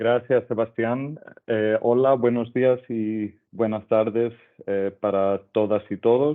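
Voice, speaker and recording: Someone with a non-native accent speaks very slowly with fairly even intonation. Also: man, medium pitch for a man. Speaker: UN crime prevention officer. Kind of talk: webinar presentation. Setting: video call.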